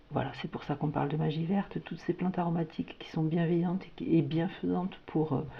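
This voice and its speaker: A woman speaks with a fairly low pitch and a warm tone. Her voice is somewhat breathy. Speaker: tarot/oracle card reader. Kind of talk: spiritual guidance reading. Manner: hesitant, many fillers and repetitions; warm, intimate address.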